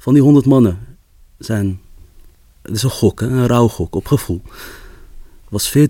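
Talking fairly slowly, a man with a dark, mellow tone sounds somewhat breathy, his pitch varying in an ordinary way. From Amsterdam, Netherlands. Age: 20s. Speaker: storytelling coach and photographer. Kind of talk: interview.

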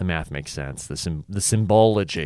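Over a silent background in a very clean recording, a man with a Southern California accent speaks in a fairly low pitch with lively intonation. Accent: Southern California local dialect. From Orange County, California. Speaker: podcast host and stand-up comedian. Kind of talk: casual solo podcast monologue. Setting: solo recording on camera.

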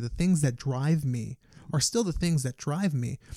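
A man in a New York accent, fairly high in pitch, with a dark, mellow tone and ordinary pitch variation, on a very clean recording with a silent background. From New York, the Bronx. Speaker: fitness entrepreneur. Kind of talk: casual interview chat.

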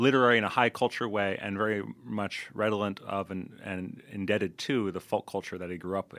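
A man with an American accent, fairly low pitch, bright, sharp tone, fairly even intonation and fairly quick pace, on a very clean recording with a silent background. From US, Louisville, Kentucky. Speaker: translator. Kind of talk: interview.

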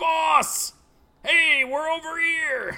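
In a put-on character voice, someone shouts in a whiny, extremely high pitch. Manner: whiny, pathetic shouting.

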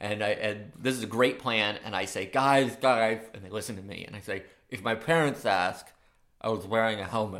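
A man with a slight New York accent and a fairly low pitch speaks at a moderate pace, with ordinary pitch variation and big swings in loudness. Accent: New York tinge, like his Brooklyn-born dad. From Maine, small coastal town. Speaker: math teacher and storyteller. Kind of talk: storytelling.

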